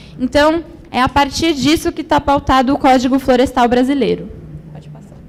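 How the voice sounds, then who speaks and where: Using a Brazilian accent, a woman talks in a high pitch with ordinary pitch variation and big swings in loudness. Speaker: environmental management graduate, speaker. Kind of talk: conference presentation. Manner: slow.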